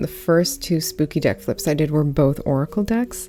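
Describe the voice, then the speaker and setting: Against noticeable background noise, a soft-spoken woman with a very deep, low voice talks at a moderate pace. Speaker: tarot reader, deck reviewer. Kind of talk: casual deck flip-through.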